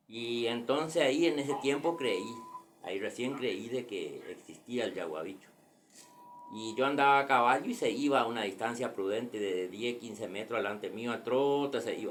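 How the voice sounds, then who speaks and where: A man talks amid noticeable background noise, and audible room echo carries his words. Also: medium pitch for a man, ordinary pitch variation, moderate pace. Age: 60s. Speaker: grandfather telling a local legend. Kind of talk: personal storytelling. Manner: halting.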